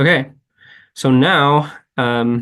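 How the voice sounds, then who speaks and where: A man speaks at medium pitch in a monotone, flat intonation. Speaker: PhD student, instructor. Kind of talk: tutorial. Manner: slow, deliberate; hesitant, many fillers.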